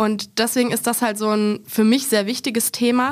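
Her voice is fairly high for a woman. She keeps her intonation fairly even. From German small town. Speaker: guest with visual impairment on accessibility. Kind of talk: casual panel discussion. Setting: studio.

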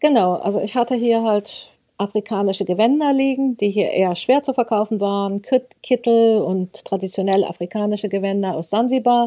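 A woman with a normal speaking voice talks at a moderate pace, barely pausing. Her pitch is fairly high, with ordinary variation. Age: 50s. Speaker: craft goods trader. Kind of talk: interview.

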